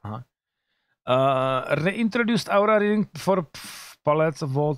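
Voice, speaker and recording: Lively intonation marks a man's high-pitched voice at a moderate pace. The sound is dry with no echo. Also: quiet background. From Czech Republic. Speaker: gaming streamer. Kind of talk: casual commentary reading patch notes. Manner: casual, swearing, reading English aloud. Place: home room. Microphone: studio mic.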